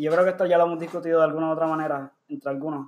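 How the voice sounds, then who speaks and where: A man speaks with monotone, flat intonation. His pitch sits fairly high. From US, Puerto Rican family. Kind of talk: casual banter podcast.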